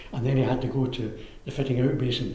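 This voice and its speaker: A man speaks at a moderate pace in a medium pitch, with fairly even intonation. Noticeable background noise runs under his voice. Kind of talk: oral history interview answer.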